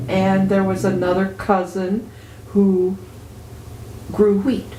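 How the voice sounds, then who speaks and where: Fairly even intonation from a woman's medium-pitched voice, with clear background noise and audible room echo. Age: 60s. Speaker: retiree and activist. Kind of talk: interview. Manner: conversational with frequent hesitations.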